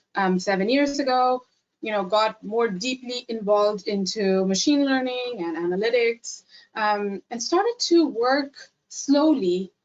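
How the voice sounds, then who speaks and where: Music plays behind a woman speaking with an Indian accent. Her pitch is fairly high and her pace fairly slow. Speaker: AI consultant / webinar presenter. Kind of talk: webinar presentation. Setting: webinar.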